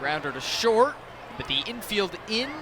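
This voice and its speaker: A man's voice with very wide pitch swings at a fairly slow pace, over noticeable background noise. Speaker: baseball TV broadcaster. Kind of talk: live baseball broadcast banter and interview.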